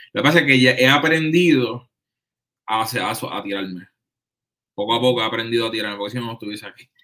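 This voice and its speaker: Very fast delivery with long, frequent pauses, big swings in loudness, a bright, sharp tone and ordinary pitch variation. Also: man, medium pitch for a man. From Puerto Rico. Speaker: trumpet player. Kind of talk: casual chat. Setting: in person, recorded on laptop.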